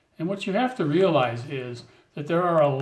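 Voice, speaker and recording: Somewhat breathy, with lively intonation and an American accent, the voice moves at a moderate pace with audible room echo. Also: man. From United States. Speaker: vlogger giving advice to newcomers. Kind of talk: casual talk to camera.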